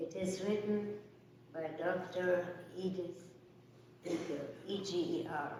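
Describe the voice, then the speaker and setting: Amid audible room echo and noticeable background noise, a woman talks fairly slowly at a fairly low pitch, monotone and flat, with long, frequent pauses. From Germany. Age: 90s. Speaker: Holocaust survivor. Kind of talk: testimony.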